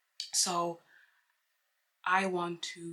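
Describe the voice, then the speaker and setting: A woman is speaking. She has a non-native accent. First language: not English. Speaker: book vlogger. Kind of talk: casual vlog monologue. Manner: halting, with many fillers.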